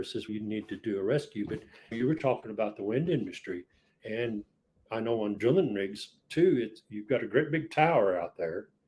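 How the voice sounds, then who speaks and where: A man with a medium-pitched, ordinary speaking voice and lively intonation talks over a quiet background. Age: 60s. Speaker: inventor and part-time truck driver. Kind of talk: podcast interview.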